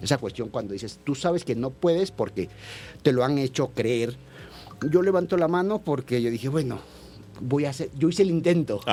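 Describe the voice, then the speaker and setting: With music in the background, a man speaks at a moderate pace with lively intonation and long, frequent pauses. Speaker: theatre director. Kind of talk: radio interview.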